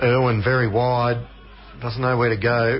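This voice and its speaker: Noticeable background noise sits behind a man who speaks at a medium pitch and a moderate pace. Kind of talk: live sports commentary.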